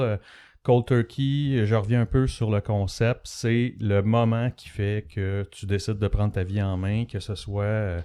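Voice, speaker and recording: Over a silent background in a very clean recording, a man with a Quebec accent speaks at a fairly slow pace, his tone dark and mellow, his pitch medium with ordinary variation. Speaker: podcast host. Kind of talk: interview. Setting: studio.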